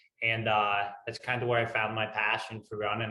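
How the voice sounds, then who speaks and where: Flat and monotone, a man speaks in an American accent at a moderate pace. His pitch is fairly low. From US Northeast. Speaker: ultrarunner. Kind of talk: interview.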